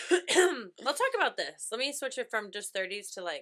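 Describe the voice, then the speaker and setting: A loud, animated woman speaks at a moderate pace in a fairly high pitch with very wide pitch swings and a bright, sharp tone. The recording is very clean, with a silent background. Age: 30s. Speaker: podcast co-host. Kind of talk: casual chat.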